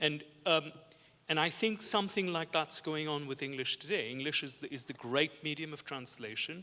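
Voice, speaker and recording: At a moderate pace, a man with a non-native accent speaks in a bright, sharp tone with ordinary pitch variation. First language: not English. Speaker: art historian. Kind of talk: panel discussion. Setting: conference with audience. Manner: halting, many repetitions.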